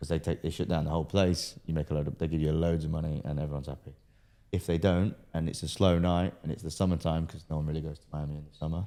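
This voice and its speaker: A man's very deep, low voice with a dark, mellow tone races at a very fast pace on a very clean recording with a silent background. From Britain. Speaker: entrepreneur and pro boxer. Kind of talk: casual interview.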